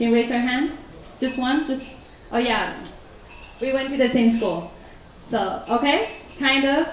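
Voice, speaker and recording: A high-pitched woman with a Taiwanese accent at a moderate pace, amid audible room echo and noticeable background noise. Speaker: professional interpreter. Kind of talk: talk to a live audience. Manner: casual, conversational.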